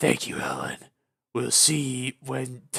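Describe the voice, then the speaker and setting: A man puts on a character voice at a medium pitch. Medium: read story.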